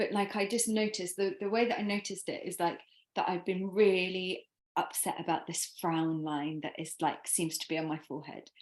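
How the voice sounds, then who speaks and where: In a very clean recording with a silent background, a woman with a normal speaking voice talks at a fairly quick pace, a medium pitch, and ordinary pitch variation. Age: 40s. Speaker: podcast host. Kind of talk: casual chat.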